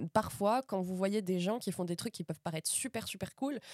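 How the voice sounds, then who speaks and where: A woman speaks at medium pitch with a dark, mellow tone and ordinary pitch variation. The sound is dry and close, with no echo. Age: 20s. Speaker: advertising project manager and actress. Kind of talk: casual chat. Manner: hesitant, many fillers and repetitions.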